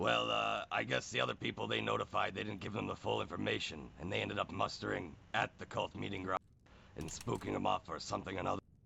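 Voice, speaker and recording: A put-on character voice, raspy and very fast, swings very widely in pitch. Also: man, very deep, low pitch for a man. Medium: game stream. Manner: blunt, plain-spoken.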